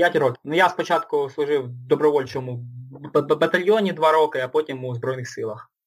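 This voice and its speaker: The voice is somewhat breathy, with big swings in loudness. Pitch variation is ordinary and the pace is moderate. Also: man, fairly high pitch for a man. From Luhansk, eastern Ukraine. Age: 20s. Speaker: ultramarathon runner and army veteran. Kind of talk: interview. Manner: halting.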